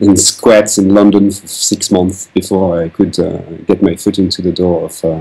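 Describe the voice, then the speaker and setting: At a moderate pace, a man speaks in a very deep, low voice with a dark, mellow tone and monotone, flat intonation. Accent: French. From France. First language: French. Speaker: concept artist and designer. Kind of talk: interview. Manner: halting, many fillers.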